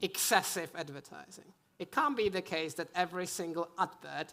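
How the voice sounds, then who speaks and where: A woman with a European accent talks at a moderate pace. Her fairly low voice has vocal fry and ordinary pitch variation. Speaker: conference panelist, gambling industry. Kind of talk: panel discussion.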